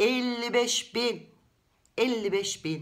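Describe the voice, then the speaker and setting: An animated, high-pitched woman's voice against a quiet background. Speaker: book vlogger. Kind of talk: casual book review monologue. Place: home room. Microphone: webcam.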